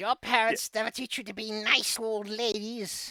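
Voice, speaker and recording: A moderately paced, fairly high-pitched put-on character voice. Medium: actual play. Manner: cackling, condescending.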